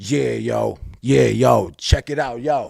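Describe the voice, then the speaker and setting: Using a put-on character voice, a man speaks very deep and low, with a raspy sound. His pitch swings very widely and his pace is fairly slow. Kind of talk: street slang, hip-hop swagger. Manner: mocking, exaggerated.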